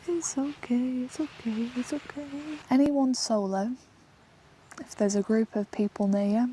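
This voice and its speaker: A woman with an English accent speaks quietly at a moderate pace, her high-pitched voice dark and mellow in tone, with ordinary pitch variation. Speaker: solo camper vlogger. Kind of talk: outdoor vlog narration. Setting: outdoors in a forest. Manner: quiet, hushed.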